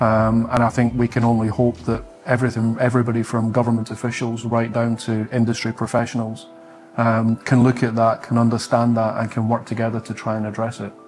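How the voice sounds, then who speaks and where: Over music in the background, a man in a Scottish accent talks at a fairly quick pace with monotone, flat intonation. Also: medium pitch for a man. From Scotland. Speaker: solar industry sales team lead. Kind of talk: interview.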